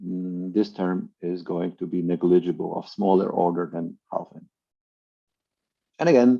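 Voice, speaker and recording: A man speaks with a very deep, low pitch and ordinary pitch variation. Long, frequent pauses and big swings in loudness mark his delivery. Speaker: mathematics professor. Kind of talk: lecture. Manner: hesitant, many fillers.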